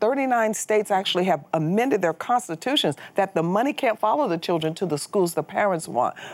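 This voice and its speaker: Using a normal speaking voice, a woman at a medium pitch talks at a fairly quick pace with lively intonation, very even loudness and hardly any pauses. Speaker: political activist. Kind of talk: interview.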